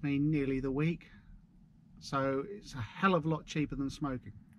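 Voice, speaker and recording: A man with a Suffolk accent and a fairly high pitch, moderate pace and fairly even intonation, dry sound with no echo, and light background noise. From Suffolk, eastern England; eastern England. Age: 40s. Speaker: vlogger. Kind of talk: casual driving vlog monologue. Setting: in a van. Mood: relaxed, chatty. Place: car. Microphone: camera far.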